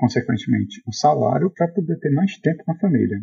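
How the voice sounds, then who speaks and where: A man speaks in a somewhat breathy voice. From Brazil, Fortaleza. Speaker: software developer. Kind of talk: casual interview. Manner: halting, many fillers.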